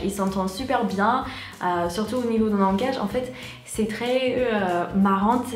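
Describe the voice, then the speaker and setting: Ordinary pitch variation at a fairly slow pace, with noticeable background noise. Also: woman, fairly high pitch for a woman. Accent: American. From United States. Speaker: YouTuber. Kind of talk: casual talk to camera.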